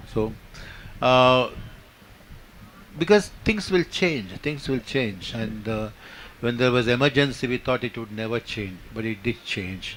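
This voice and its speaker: A man with a Kannada accent, medium pitch, ordinary pitch variation, a fairly slow pace, and long, frequent pauses. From India, Karnataka. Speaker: poet and playwright. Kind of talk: panel discussion. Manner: halting, many fillers.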